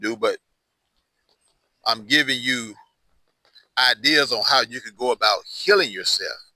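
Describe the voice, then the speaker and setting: A man is speaking. The recording is very clean with a silent background and a dry, close sound with no echo. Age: 60s. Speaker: hoodoo practitioner and herbal tutorial host. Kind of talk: tutorial. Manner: casual, conversational.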